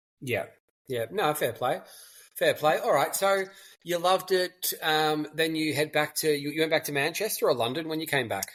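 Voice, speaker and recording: In a very clean recording with a silent background, a man with an unremarkable speaking voice talks at a moderate pace, pitched fairly high with ordinary pitch variation. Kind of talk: podcast host. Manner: casual, chatty.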